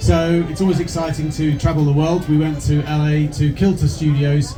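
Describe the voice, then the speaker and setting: A man with a British accent and a fairly high pitch, amid noticeable background noise and audible room echo. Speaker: replica company co-founder. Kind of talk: talk to a live audience.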